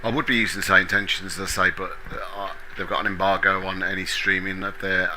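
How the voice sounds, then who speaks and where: Noticeable background noise and audible room echo surround a man with a Birmingham accent talking at a fairly quick pace. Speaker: flight sim streamer. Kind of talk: live gameplay commentary. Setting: live stream. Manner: casual, relaxed.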